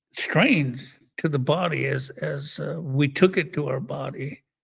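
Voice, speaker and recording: A man speaks very slowly at a fairly high pitch with ordinary pitch variation. His voice has vocal fry. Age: 70s. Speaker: recovery speaker. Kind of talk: testimony. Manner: halting, many repeated words.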